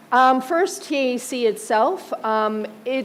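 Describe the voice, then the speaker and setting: A woman with an American accent speaks amid noticeable background noise and audible room echo. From United States. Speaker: museum co-director. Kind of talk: conference presentation. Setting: auditorium stage with audience. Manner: frequent fillers (um).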